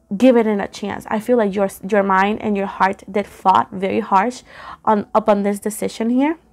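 A woman's fairly even intonation at a moderate pace, with faint music in the background. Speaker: tarot reader. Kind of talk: tarot reading commentary. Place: home room. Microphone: phone near.

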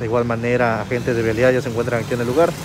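A man's voice in a dry sound with no echo, with noticeable background noise. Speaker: news reporter. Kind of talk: on-scene news commentary. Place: street. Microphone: phone near.

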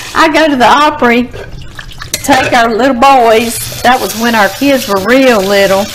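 A woman speaks at a moderate pace with ordinary pitch variation. Long, frequent pauses break her speech over noticeable background noise. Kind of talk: cooking tutorial chat. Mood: cheerful, laughing. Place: kitchen.

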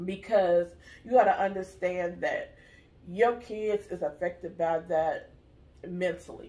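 A woman speaks at a fairly slow pace. Her intonation stays fairly even. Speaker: vlogger. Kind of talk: casual vlog chat, earnest advice. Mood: serious, earnest, emphatic. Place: home room. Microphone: camera far.

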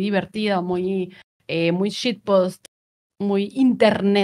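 Speaking at a fairly slow pace with fairly even intonation, a woman is heard over a quiet background. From Mexico, Monterrey; Nuevo León, Mexico. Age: 30s. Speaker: content creator and streamer; content creator, streamer. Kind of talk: casual interview chat. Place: home room.

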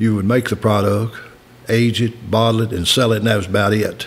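A man with a Kentucky accent speaks at a fairly quick pace. His voice sits at a medium pitch and stays monotone and flat. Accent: Kentucky Southern American. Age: 80s+. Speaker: master distiller. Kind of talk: interview answer. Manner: folksy, unpretentious.

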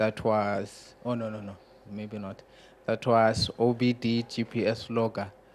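Against light background noise, a man talks at a very slow pace with monotone, flat intonation. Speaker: Linux user and aspiring contributor; audience member. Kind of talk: conference self-introduction. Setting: conference room with live audience. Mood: relaxed, slightly amused. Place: classroom. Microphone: handheld.

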